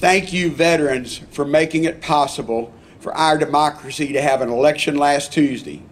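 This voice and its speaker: With a Texas accent, this man talks at a fairly high pitch and uses ordinary pitch variation. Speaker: congressman. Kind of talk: public speech at ceremony.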